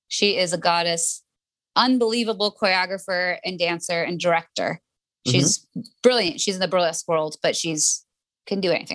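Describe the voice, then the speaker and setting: A woman with an American accent and an unremarkable speaking voice talks at a moderate pace with lively intonation and medium pitch for a woman, the sound dry and close with no echo. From South Florida (Pembroke Pines, near Miami). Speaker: dancer and choreographer. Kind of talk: casual interview.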